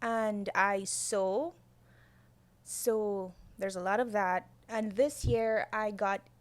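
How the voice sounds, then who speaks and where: A woman talks at a very slow pace and medium pitch, with an ordinary amount of pitch variation, in a Guyanese accent. Her long, frequent pauses stand out in a very clean recording with a silent background. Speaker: podcast guest, architect and designer. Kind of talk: casual chat.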